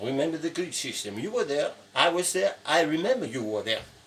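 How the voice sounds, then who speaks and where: A man's voice, high for a man, comes through noticeable background noise. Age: 70s. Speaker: sculptor and painting teacher. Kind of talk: tutorial. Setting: sculpture studio. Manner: halting.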